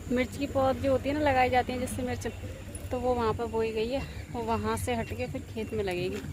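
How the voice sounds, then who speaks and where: A woman's voice comes at a moderate pace. Clear background noise and audible echo from the room accompany her. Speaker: vlogger. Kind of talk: casual vlog chat. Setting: outdoors on rooftop. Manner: soft-spoken.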